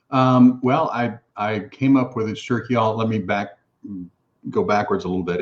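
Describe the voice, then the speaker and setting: This man talks with a Texan accent. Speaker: food company founder. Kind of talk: interview.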